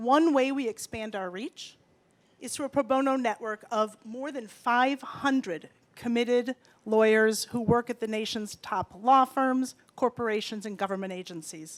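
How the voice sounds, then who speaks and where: Dry and close with no echo, a woman's voice at a fairly high pitch keeps a moderate pace, with ordinary pitch variation and big swings in loudness. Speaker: nonprofit executive director. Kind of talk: speech at benefit event. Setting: event stage with audience and PA.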